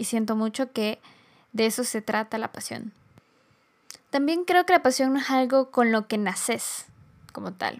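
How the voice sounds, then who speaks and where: On a very clean recording with a silent background, a woman speaks at a fairly high pitch with ordinary pitch variation. Her pace is fairly slow, with long, frequent pauses. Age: 20s. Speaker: podcast host. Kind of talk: solo reflective monologue.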